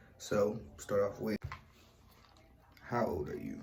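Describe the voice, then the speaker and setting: Room echo is audible around this man's voice. His tone is relaxed. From US West Coast, East Oakland, California. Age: 20s. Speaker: YouTuber. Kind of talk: casual Q&A vlog. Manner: relaxed, conversational with fillers.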